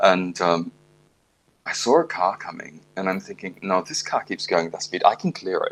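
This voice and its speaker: A man with an Australian accent, lively intonation and a moderate pace. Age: 60s. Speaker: classical pianist. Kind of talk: casual chat.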